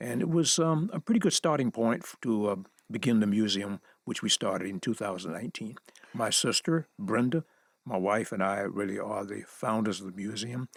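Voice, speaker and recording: With very wide pitch swings around a medium pitch, a man speaks in a dry, close sound with no echo. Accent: Southern US. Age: 80s. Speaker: civil rights photographer, museum founder. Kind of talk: interview. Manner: halting.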